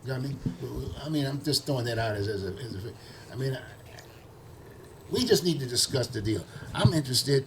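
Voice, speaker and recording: Amid noticeable background noise, a man at a medium pitch talks very fast yet with long, frequent pauses and ordinary pitch variation. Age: 80s+. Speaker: talk show host. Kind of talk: casual discussion. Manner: animated.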